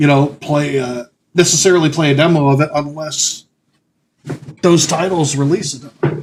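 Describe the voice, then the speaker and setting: A man speaks at a fairly slow pace, somewhat breathy and fairly high in pitch. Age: 30s. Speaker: gaming streamer. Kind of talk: casual live stream commentary. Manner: halting, many fillers.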